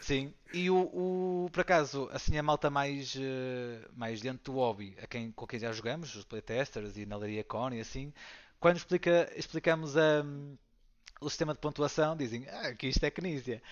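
An unremarkable speaking voice belongs to a man with a fairly high pitch and ordinary pitch variation. He keeps a moderate pace, with big swings in loudness. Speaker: board game designer and teacher. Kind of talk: casual interview.

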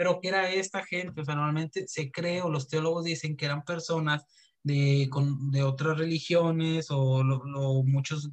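In an unremarkable speaking voice, a man speaks fairly slowly with a fairly high pitch and fairly even intonation. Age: 20s. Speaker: podcast host. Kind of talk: casual chat.

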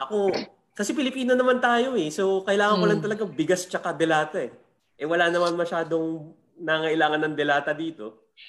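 Lively intonation marks this man's high-pitched delivery at a fairly quick clip. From Philippines. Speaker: comedian. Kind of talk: casual chat.

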